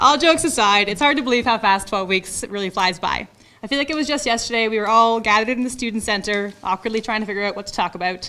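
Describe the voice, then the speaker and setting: Speaking at a very fast pace with a strong Ontario accent, a woman uses ordinary pitch variation. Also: fairly high pitch for a woman. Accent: heavy Ontario. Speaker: firefighter trainee graduate. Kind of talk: graduation speech. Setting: lecture theatre with audience.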